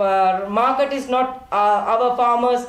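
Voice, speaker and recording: Against noticeable background noise and audible room echo, a woman speaks with a fairly high pitch and fairly even intonation. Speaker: farmer movement representative. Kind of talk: panel speech. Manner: halting.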